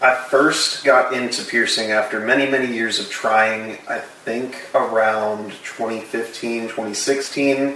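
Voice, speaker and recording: Through noticeable background noise and audible room echo, a man with an American accent speaks very slowly at a medium pitch in a monotone, flat delivery. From Florida, Tampa Bay. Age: 20s. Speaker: body piercer. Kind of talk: casual interview. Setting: at home.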